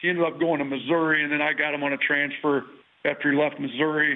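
This man has a fairly high pitch and a fairly quick pace. His intonation is flat and monotone. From Wisconsin. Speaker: college basketball head coach. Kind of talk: casual interview.

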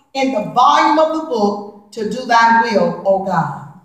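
A woman at a very slow pace with lively intonation, a quiet background and audible room echo. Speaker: preacher. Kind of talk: sermon. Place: church. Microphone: camera far.

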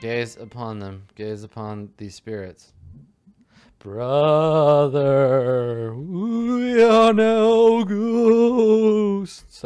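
In a put-on character voice, a man speaks at a fairly high pitch with very wide pitch swings. His pace is very slow against a quiet background. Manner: spooky.

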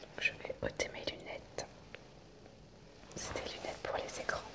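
A soft-spoken woman whispers at a very slow pace. Loud background noise fills the recording. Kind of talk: role-play medical care talk to viewer. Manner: soft ASMR whisper, close to camera. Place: home room. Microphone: phone near.

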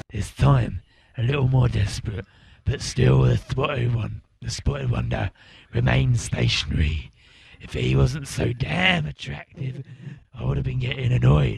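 A man puts on a character voice, pitched very deep and low. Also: moderate pace. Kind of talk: mock documentary interview.

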